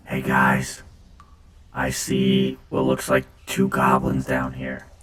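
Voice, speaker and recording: A man puts on a raspy character voice, very deep and low, speaking at a very slow pace in a flat monotone. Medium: actual play. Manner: naive, unguarded.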